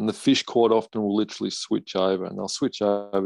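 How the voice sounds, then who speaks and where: A man speaks with an Australian accent at a moderate pace. His pitch is fairly low and his intonation fairly even. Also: dry, close sound with no echo. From northwest Tasmania, Australia. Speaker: competitive fly fisherman. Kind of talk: casual interview. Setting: video call.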